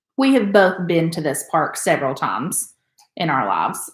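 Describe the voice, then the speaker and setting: Her pitch swinging very widely, a woman talks at a moderate pace with vocal fry. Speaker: travel podcast co-host. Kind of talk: casual chat.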